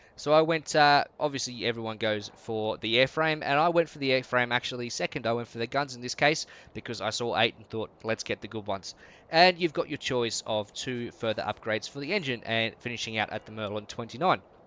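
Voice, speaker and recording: An Australian-accented man talks at a fairly quick pace and medium pitch, his loudness swinging a lot. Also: ordinary pitch variation. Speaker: gaming YouTuber. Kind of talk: game commentary. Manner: casual.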